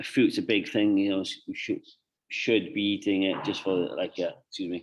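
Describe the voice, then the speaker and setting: Speaking with a British accent, a man keeps a moderate tempo. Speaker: nutrition coach. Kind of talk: client consultation. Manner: halting; casual.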